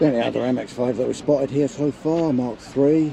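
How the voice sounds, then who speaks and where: A quiet man talking at a fairly quick pace over noticeable background noise. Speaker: car vlogger. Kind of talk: casual vlog commentary. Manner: hesitant, many fillers.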